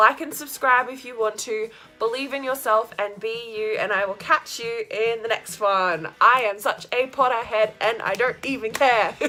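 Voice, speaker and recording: Over music in the background, a speaker with an Australian accent moves at a moderate pace with hardly any pauses and ordinary pitch variation. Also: woman, fairly high pitch for a woman. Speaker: vlogger. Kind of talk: casual vlog monologue. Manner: animated.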